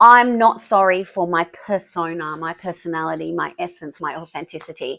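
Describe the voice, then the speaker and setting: On a very clean recording with a silent background, a woman with an Australian accent and a fairly low pitch speaks at a moderate pace with hardly any pauses, using a bright, sharp tone, ordinary pitch variation and big swings in loudness. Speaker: business founder. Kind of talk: interview. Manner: excitable, pitch rises.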